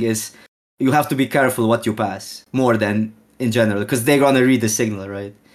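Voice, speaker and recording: Speaking at a fairly quick pace with a Slovene accent, a man keeps a medium pitch and fairly even intonation on a very clean recording with a silent background. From Slovenia, near Austrian border. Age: 30s. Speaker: Magic card game streamer. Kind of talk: casual interview.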